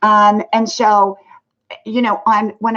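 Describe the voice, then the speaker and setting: A woman with an American accent has a normal speaking voice. She speaks at medium pitch and a fairly slow pace. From US South. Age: 60s. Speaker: live streamer. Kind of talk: casual live stream chat. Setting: live stream. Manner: casual, filler-heavy.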